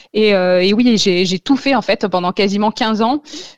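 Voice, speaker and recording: A woman's ordinary speaking voice at medium pitch, fairly slow in pace and fairly even in intonation, with a dry, close sound, no echo and a quiet background. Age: 30s. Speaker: author recovered from eating disorders. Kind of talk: radio interview, personal testimony.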